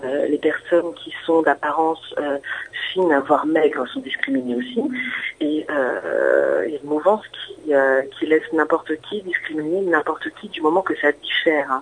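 Noticeable background noise runs under a woman's speech. She talks at a fairly slow pace with big swings in loudness. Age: 30s. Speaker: guest sharing personal story. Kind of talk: testimony. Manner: halting.

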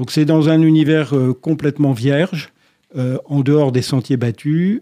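The recording is dry and close with no echo. A man speaks with ordinary pitch variation and a dark, mellow tone. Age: 60s. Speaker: retired lawyer and race organizer. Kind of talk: radio interview.

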